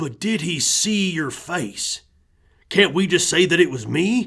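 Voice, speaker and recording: A man's put-on character voice, high-pitched and raspy, with lively intonation. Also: fairly slow pace. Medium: read story. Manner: blunt, folksy.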